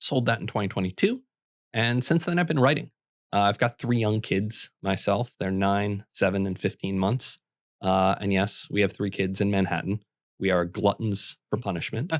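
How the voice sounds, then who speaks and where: A man's plain, everyday voice at a fairly low pitch, moderate pace and ordinary pitch variation, with a dry, close sound and no echo. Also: very clean recording, silent background. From Minnesota. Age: 30s. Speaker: housing writer and entrepreneur. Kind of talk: podcast interview.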